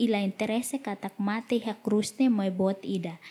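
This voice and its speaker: In a very clean recording with a silent background, a woman with a fairly high pitch speaks at a moderate pace, somewhat breathy, with ordinary pitch variation. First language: Tetum. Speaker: interpreter. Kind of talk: sermon.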